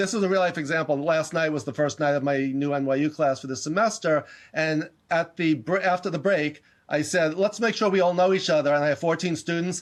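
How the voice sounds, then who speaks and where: Spoken at a fairly quick pace with a New York accent, the voice shows ordinary pitch variation over a quiet background. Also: man, fairly high pitch for a man. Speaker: leadership educator and professor. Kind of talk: interview. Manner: fast; animated.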